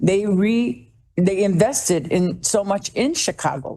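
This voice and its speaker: A woman's medium-pitched, a normal speaking voice with lively intonation. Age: 60s. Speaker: public commenter. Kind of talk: public comment at board meeting. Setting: public board meeting.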